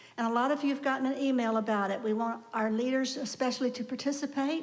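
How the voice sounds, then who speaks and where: This woman has a high voice for a woman. Audible room echo can be heard. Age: 70s. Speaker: congregation lay leader. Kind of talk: church announcements. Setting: church service. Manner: conversational.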